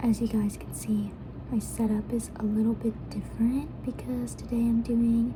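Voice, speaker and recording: A woman is soft-spoken. Noticeable background noise can be heard. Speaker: student. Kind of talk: ASMR eating and casual ramble to camera.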